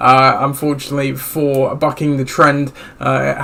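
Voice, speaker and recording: Over noticeable background noise, a man talks in a fairly high pitch with monotone, flat intonation. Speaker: podcast host. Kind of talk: solo fantasy football podcast talk. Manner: casual, hesitant with many fillers.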